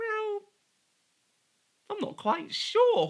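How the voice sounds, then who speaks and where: A put-on character voice, squeaky and extremely high in pitch, does the talking. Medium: read story.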